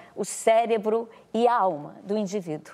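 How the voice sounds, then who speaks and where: A woman speaks with a dark, mellow tone at a fairly high pitch. Her pace is fairly slow. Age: 60s. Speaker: actress and director. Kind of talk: TV interview. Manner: halting.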